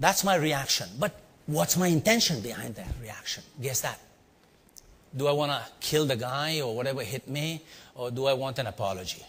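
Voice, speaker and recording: Speaking with an Indian accent, a man at medium pitch sounds animated, his intonation lively. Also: moderate pace, very clean recording, silent background. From India (Bombay). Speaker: leadership trainer and speaker. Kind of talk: storytelling talk to a live audience.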